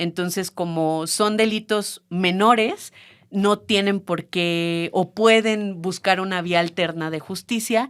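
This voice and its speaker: Her intonation stays fairly even, and a woman's voice sits at a medium pitch. The recording is very clean, and the background is silent. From Mexico, San Luis Potosí. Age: 30s. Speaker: feminist activist, childcare worker. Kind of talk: podcast interview. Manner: hesitant, many fillers.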